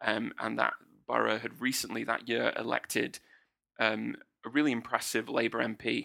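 The speaker is a man with a British accent. He talks at a moderate pace. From UK. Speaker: political commentator guest. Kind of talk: political analysis in casual chat. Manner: halting, repeats words.

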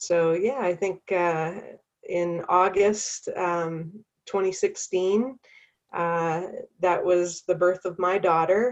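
With a Canadian accent, a woman talks very slowly at a medium pitch, her intonation fairly even. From Canada. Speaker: founder of a parenting community, working mother. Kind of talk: interview. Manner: hesitant, many fillers.

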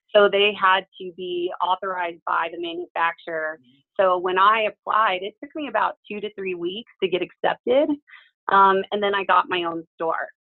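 A woman with an American accent speaks at a moderate pace in a medium pitch, using ordinary pitch variation and big swings in loudness. Hers is a plain, everyday voice. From small-town US. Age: 40s. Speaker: hair stylist and salon industry educator. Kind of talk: casual interview chat.

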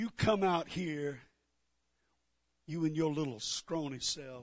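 A man puts on a character voice. His pitch sits fairly high and he speaks at a fairly slow pace. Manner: boastful, taunting.

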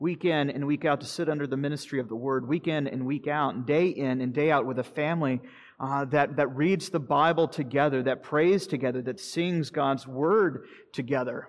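Here a man with an ordinary speaking voice talks at a fairly high pitch with ordinary pitch variation. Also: moderate pace, quiet background. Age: 40s. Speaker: pastor. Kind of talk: sermon.

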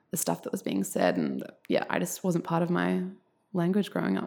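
Speaking at a fairly quick pace with an Australian accent, a woman has a fairly low pitch and a dark, mellow tone. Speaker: essayist. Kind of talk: casual interview conversation.

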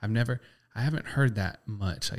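The man talks at a fairly quick pace. His voice is somewhat breathy, with ordinary pitch variation. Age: 20s. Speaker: photographer and videographer. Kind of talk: casual chat. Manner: casual, animated.

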